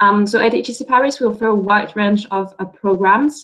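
A woman at a medium pitch speaks in a plain, everyday voice with ordinary pitch variation against a quiet background. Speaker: business school representative. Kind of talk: webinar presentation. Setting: video call. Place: office. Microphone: video call.

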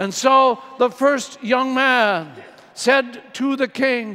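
A man speaks very slowly in a raised, projected voice that is extremely high-pitched and warm in tone, with ordinary pitch variation. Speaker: priest giving homily. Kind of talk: homily. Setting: church. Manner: warm, earnest preaching. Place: church.

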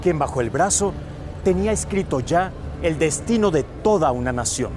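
A man at a moderate pace with very wide pitch swings, dry sound with no echo, and music in the background. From Tabasco, Mexico. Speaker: TV news anchor and host. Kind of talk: TV documentary special introduction. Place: street. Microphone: lapel.

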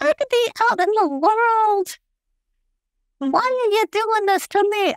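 A woman speaks in a put-on character voice at an extremely high pitch. Her pace is fairly slow. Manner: whiny, complaining.

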